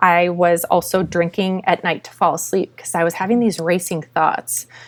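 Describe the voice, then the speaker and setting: A woman's ordinary speaking voice, medium in pitch, with an American accent, at a moderate pace. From Minnesota. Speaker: sober coach. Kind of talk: testimony.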